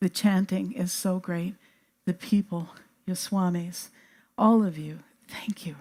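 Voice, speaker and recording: Against a very clean, silent background, a woman speaks at a fairly slow pace in a dark, mellow, somewhat breathy tone with fairly even intonation and long, frequent pauses. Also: medium pitch for a woman. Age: 70s. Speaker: biophysicist and healer. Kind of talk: talk to audience.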